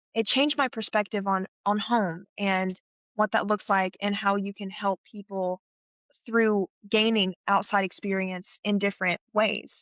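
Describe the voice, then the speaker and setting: With an Appalachian accent, a woman speaks at a medium pitch. Her pace is fairly slow and her intonation fairly even. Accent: Appalachian Southern US. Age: 20s. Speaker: scholarship recipient, theater student. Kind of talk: interview.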